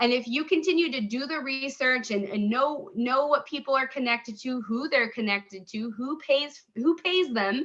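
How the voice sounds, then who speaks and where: A woman speaks in a raised, projected voice with a bright, sharp tone and high pitch. Her delivery is animated, with lively intonation at a moderate pace. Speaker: online crypto mentor and YouTuber. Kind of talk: casual video commentary.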